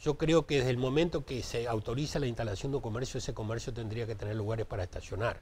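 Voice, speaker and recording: Somewhat breathy, a man talks very fast with hardly any pauses and ordinary pitch variation. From Uruguay. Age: 60s. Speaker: municipal traffic director; interviewee. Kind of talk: TV interview. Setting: TV studio. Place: studio. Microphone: lapel.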